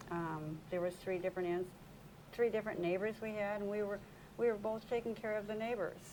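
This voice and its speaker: A woman with an unremarkable speaking voice and an American accent talks fairly quickly at a medium pitch, with fairly even intonation. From Minnesota. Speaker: senior companion volunteer. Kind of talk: casual interview.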